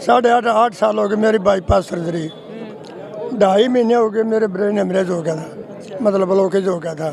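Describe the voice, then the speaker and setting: Crowd noise fills the background. A man talks in a high pitch with ordinary pitch variation. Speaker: village elder. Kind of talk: street interview.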